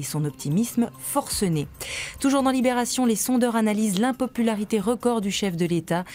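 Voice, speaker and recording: Over music in the background, a woman speaks at a fairly quick pace with lively intonation. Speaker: press review presenter. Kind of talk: TV morning press review reading headlines.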